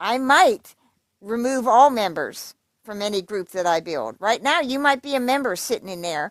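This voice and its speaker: A woman with an American accent talks at a moderate pace, her pitch swinging very widely. The recording is very clean, with a silent background. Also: fairly high pitch for a woman. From Pennsylvania. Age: 60s. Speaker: livestreamer. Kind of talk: casual livestream rant. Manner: animated.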